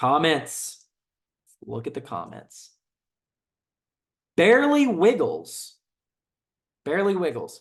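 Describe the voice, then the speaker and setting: A man speaks very slowly with a slight Southern US accent. His pauses are long and frequent, and the background is quiet. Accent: slight Southern twang. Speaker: soldier and gun video creator. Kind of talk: casual comment reaction. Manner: casual, many fillers and repetitions.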